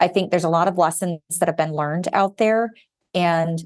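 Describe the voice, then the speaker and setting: A woman with an ordinary speaking voice talks at a fairly low pitch. Her intonation stays fairly even against a quiet background. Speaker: banking regulatory advisor. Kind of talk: podcast interview.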